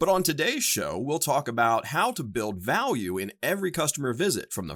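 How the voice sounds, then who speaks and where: Over a very clean recording with a silent background, a man speaks at a fairly quick pace with vocal fry and very wide pitch swings. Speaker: podcast host. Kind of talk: scripted podcast monologue. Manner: formal.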